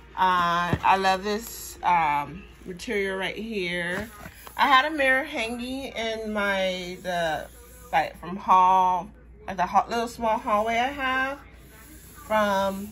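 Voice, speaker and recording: A woman speaks at a very slow pace. Her tone is bright and sharp. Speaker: shopping haul vlogger. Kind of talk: casual vlog chat. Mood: pleased, relaxed. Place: home room. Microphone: phone near.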